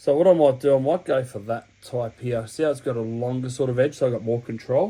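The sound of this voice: Medium pitch for a man, his tone dark and mellow. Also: ordinary pitch variation, fairly quick pace.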